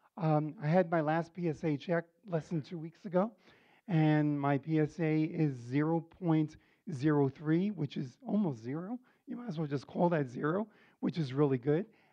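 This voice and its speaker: In an American accent, an ordinary speaking voice moves at a moderate pace with ordinary pitch variation. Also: man, fairly high pitch for a man. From New York City. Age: 60s. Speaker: cancer patient sharing experience. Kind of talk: testimony. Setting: support group meeting with audience.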